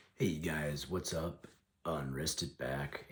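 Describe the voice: A man puts on a character voice, raspy and hoarse at a very deep, low pitch. He speaks at a very slow pace.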